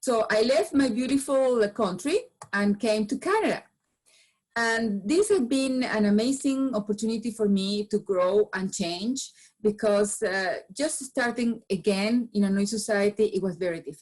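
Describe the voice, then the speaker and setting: A woman with a Venezuelan accent speaks at a fairly high pitch, somewhat breathy, with ordinary pitch variation. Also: moderate pace. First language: Spanish. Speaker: business founder and change management speaker. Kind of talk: presentation talk. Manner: halting with frequent repetitions.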